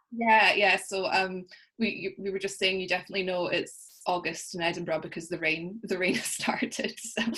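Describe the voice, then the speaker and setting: A woman in a Scottish accent with fairly even intonation amid noticeable background noise. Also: medium pitch for a woman, moderate pace. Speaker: coaching client. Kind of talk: interview.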